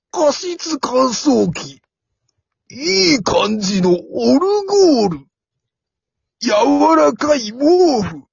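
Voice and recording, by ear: A put-on character voice at a very slow pace, full of vocal fry and big pitch swings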